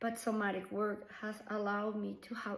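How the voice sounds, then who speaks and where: Audible room echo surrounds a woman speaking with a Colombian accent. Her pace is fairly slow. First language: Spanish. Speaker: somatic practitioner. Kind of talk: personal reflection to camera. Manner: unscripted, hesitant with fillers.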